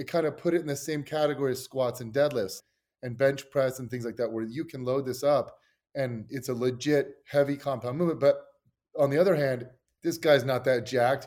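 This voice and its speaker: Fairly even in intonation, a man with a plain, everyday voice and fairly high pitch talks at a fairly quick pace. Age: 40s. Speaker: fitness coach and sports scientist. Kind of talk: casual chat.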